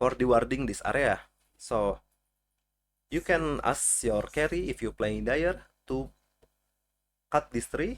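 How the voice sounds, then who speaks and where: Over a silent background on a very clean recording, a man speaks fairly slowly with long, frequent pauses. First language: not English. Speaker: video game guide creator. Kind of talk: tutorial. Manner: halting.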